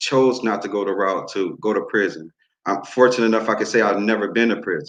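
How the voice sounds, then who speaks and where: A man with an American accent and a normal speaking voice, fairly low in pitch, fairly even in intonation, at a fairly quick pace. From New Orleans, Louisiana, then Muskegon, Michigan. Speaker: youth group facilitator, community worker. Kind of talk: panel speech at online town hall.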